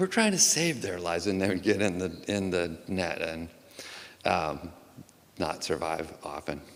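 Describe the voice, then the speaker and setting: Over audible room echo, a man with an American accent talks at a fairly slow pace in a very deep, low pitch, using fairly even intonation and long, frequent pauses. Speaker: poet. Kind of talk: informal introduction to poems; poetry reading. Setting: auditorium stage with audience.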